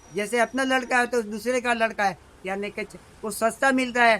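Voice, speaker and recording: A man's raised, projected voice, extremely high in pitch, with a bright, sharp tone and fairly even intonation. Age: 70s. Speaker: kite shop owner. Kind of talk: interview. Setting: shop in a market. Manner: halting.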